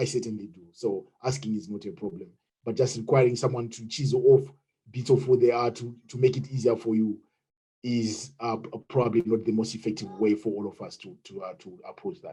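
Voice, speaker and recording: A somewhat breathy man with a Zimbabwean accent speaks at a fairly quick pace and medium pitch, with a dark, mellow tone. His pitch variation is ordinary, while his loudness swings widely. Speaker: webinar participant. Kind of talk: group discussion. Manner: halting.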